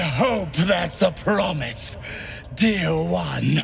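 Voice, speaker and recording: A man growls in a put-on character voice over clear background noise. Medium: machinima. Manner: warm, purring, theatrical.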